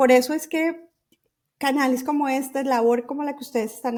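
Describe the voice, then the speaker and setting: The voice belongs to a woman and sits at a high pitch. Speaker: journalist and writing workshop founder. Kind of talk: podcast interview. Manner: halting, many restarts and fillers.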